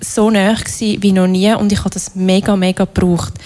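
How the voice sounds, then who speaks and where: Noticeable background noise behind a woman's voice, delivered at a moderate pace. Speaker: workshop leader. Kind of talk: workshop talk.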